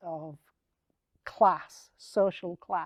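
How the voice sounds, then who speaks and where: A woman's dark, mellow voice with a northern English accent, dry and close with no echo. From northern England. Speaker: artist and writer. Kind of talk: panel conversation. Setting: studio with live audience.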